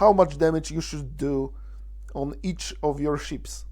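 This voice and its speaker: With audible room echo, a man in a Polish accent speaks at a fairly slow pace. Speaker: gaming video creator. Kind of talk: tutorial. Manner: halting.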